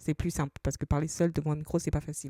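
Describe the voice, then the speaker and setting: On a very clean recording with a silent background, a woman speaks at a fairly quick pace. Her voice is very deep and low, dark and mellow in tone, with monotone, flat intonation. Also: dry, close sound with no echo. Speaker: personal finance podcaster. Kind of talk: solo podcast advice talk. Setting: solo at a microphone. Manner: fast; conversational, with hesitations.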